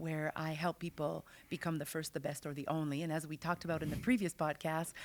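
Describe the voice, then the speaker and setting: With a Quebec accent, a woman talks at a very fast pace in a very deep, low pitch, captured on a very clean recording with a silent background. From Quebec City. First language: French. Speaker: business strategist and author. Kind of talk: interview. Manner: animated.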